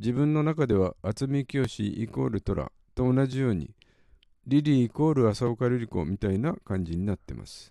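A man's dark, mellow voice at medium pitch, with lively intonation and a moderate pace, in a dry, close sound with no echo. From Yokohama, Japan. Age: old. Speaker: podcast host, film fan. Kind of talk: prepared solo monologue.

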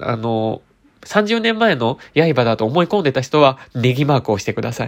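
His pitch swings very widely as the man talks at a moderate pace, on a very clean recording with a silent background. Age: 30s. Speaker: beauty expert and radio host. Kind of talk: casual solo chat. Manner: frequent filler words, meandering; gentle, polite.

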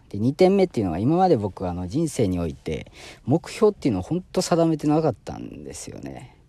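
This man has a dark, mellow tone and speaks at a fairly quick pace, with very wide pitch swings and big swings in loudness. The recording is very clean, with a silent background. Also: medium pitch for a man. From Osaka, Japan. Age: 30s. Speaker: pharmaceutical sales rep and new podcaster. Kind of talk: casual solo self-introduction podcast.

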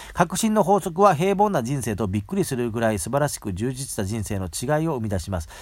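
Racing along at a very fast pace with hardly any pauses, a man's voice swings very widely in pitch. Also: medium pitch for a man, very clean recording, silent background. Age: 40s. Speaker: podcast host. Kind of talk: casual monologue with book reading. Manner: casual, many fillers.

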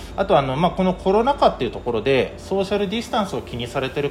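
A man talks at a very fast pace with high pitch and very wide pitch swings. Noticeable background noise is present. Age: 40s. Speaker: market vegetable wholesaler. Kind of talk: interview. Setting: workspace at a market.

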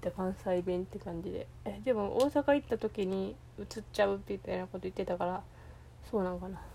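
A woman talks in a Kansai accent. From Kansai region, Japan. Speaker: podcaster. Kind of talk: solo monologue. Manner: halting, many fillers.

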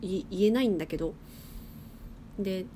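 Lively intonation marks this woman's speech. Her medium-pitched voice has a dark, mellow tone. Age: 20s. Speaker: podcast host. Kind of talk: casual monologue. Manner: casual.

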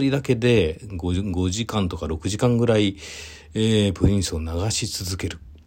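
A man speaks with a fairly low, somewhat breathy voice. His tone is relaxed and his pace fairly slow. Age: 40s. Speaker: event producer. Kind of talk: solo talk monologue. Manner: relaxed, many fillers.

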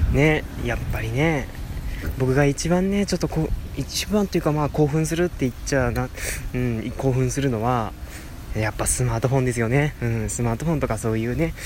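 Against noticeable background noise, a man speaks very fast at medium pitch with ordinary pitch variation. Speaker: podcast host. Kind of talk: casual solo talk. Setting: outdoors, walking by a road.

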